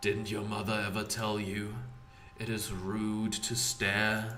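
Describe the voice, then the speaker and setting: Against clear background noise, a man does a put-on character voice that is raspy and hissing, fairly low in pitch, at a fairly slow pace with monotone, flat intonation. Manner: scolding, sinister.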